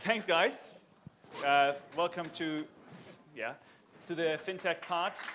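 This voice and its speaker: A man speaks very slowly in a high pitch with a German accent, leaving long, frequent pauses. His pitch varies in an ordinary way while crowd noise carries in the background. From Germany. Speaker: panel moderator. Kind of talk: conference panel discussion.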